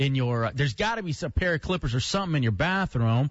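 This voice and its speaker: A man's somewhat breathy voice, fairly high in pitch, with lively intonation and a fairly quick pace. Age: 20s. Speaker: radio host. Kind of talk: casual chat. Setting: studio.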